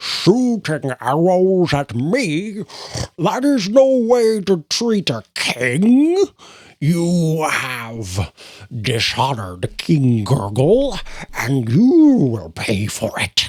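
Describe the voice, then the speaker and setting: In a very clean recording with a silent background, a man uses a put-on character voice at a fairly high pitch, with very wide pitch swings and a very slow pace. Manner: indignant, haughty.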